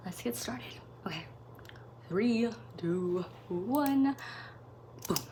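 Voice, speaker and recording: Very slow speech over noticeable background noise. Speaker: reaction youtuber. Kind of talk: casual chat. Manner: rambling, fillers.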